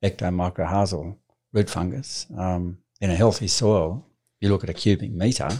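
A man with an Australian accent speaks at a very deep, low pitch with fairly even intonation. The recording is very clean, with a silent background. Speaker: farmer and author. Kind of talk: interview conversation.

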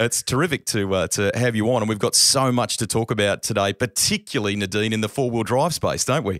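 A man with an Australian accent, very even loudness, and hardly any pauses. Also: medium pitch for a man, ordinary pitch variation, fairly quick pace, dry, close sound with no echo. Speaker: podcast host. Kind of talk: casual chat; scripted narration.

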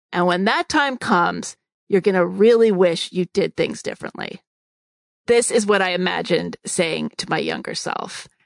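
The delivery moves at a moderate pace. The sound is dry and close, with no echo. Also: woman. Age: 50s. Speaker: podcast host. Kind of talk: monologue. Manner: reflective.

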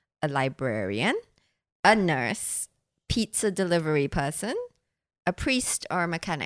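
A woman speaks fairly slowly in a fairly low voice with vocal fry and very wide pitch swings, leaving long, frequent pauses. The recording is very clean and silent behind her, dry and close with no echo. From Singapore. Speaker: podcast host and sex educator. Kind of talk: casual chat. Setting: studio.

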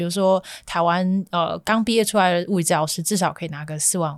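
In a plain, everyday voice, a woman speaks fairly quickly. Her voice sits at medium pitch and has ordinary pitch variation. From Malaysia. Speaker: graduate student and worker. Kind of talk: casual interview.

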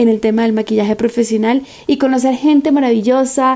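With monotone, flat intonation, a woman talks at a moderate pace and a fairly high pitch. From Venezuela, San Cristóbal (Táchira). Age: 20s. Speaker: makeup artist. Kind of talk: testimony.

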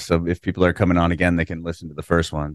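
A man speaks at a very fast pace with an American accent. The sound is dry and close, with no echo. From San Diego, California. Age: 30s. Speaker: podcast host. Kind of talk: casual interview chat; read-out ad. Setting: video call.

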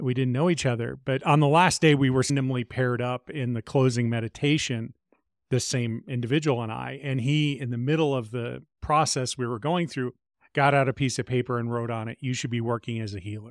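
Medium-pitched male voice with fairly even intonation, dry and close with no echo in a very clean recording over a silent background. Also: fairly quick pace. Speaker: spiritual teacher and healer. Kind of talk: interview.

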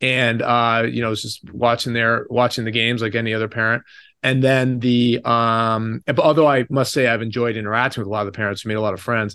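A man with an American accent speaks at medium pitch in a bright, sharp tone with monotone, flat intonation against a quiet background. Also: fairly quick pace. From Connecticut. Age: 40s. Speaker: wealth advisor. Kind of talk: interview. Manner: halting, many repeated words.

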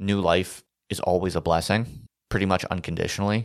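On a very clean recording with a silent background, a man with a plain, everyday voice talks at a fairly quick pace, his pitch fairly low and its variation ordinary. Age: 30s. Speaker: podcast host, former professor. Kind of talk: solo monologue podcast. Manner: casual, conversational.

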